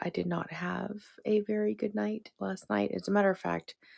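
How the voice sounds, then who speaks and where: Soft-spoken, a woman talks at a fairly slow pace in a dry, close sound with no echo. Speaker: lifestyle vlogger. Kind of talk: casual vlog talk. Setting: at home, one-room cottage. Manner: quiet, soft-spoken.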